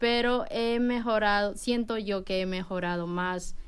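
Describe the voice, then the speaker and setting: A woman speaks in a plain, everyday voice at a fairly slow pace with fairly even intonation. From Peru. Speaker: preschool teacher. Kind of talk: radio interview.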